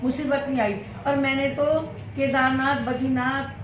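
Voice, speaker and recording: A woman with a high pitch is heard over noticeable background noise, with audible room echo. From Faridabad, Haryana, India. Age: 70s. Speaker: mother-in-law of vlogger. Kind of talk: casual chat.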